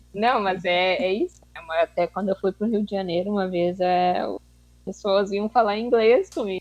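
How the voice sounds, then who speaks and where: Heard dry and close with no echo, a normal speaking voice moves at a moderate pace with fairly even intonation. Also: woman, medium pitch for a woman. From Rio Grande do Sul, southern Brazil. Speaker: master's student. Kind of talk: casual discussion.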